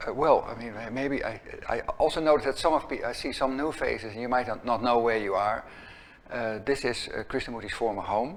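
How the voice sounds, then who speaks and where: This man has a medium pitch and a Dutch accent. He speaks at a fairly quick pace with ordinary pitch variation. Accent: Dutch, noticeable. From Netherlands. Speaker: executive director of an educational center. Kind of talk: opening talk to a small gathering. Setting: room with small live audience. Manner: halting, many fillers and restarts.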